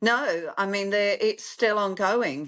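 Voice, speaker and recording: This is a woman speaking. She has a London accent. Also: quiet background. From London, England. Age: 60s. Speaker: clinic founder, therapist. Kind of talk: interview.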